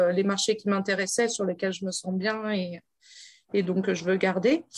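Against a quiet background, a somewhat breathy woman speaks at a moderate pace. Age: 30s. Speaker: traveling grocer, former ecology researcher. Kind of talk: interview.

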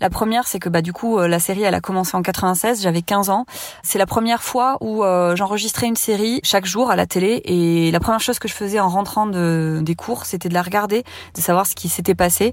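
A normal speaking voice from a woman, medium in pitch with ordinary pitch variation, at a fairly quick pace. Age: 30s. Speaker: listener testimonial. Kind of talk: testimony.

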